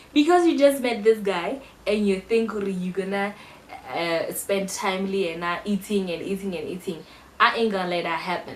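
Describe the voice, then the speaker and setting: A woman at a medium pitch with an animated tone and noticeable background noise. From South Africa. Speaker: YouTuber, university student. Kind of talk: casual vlog storytelling.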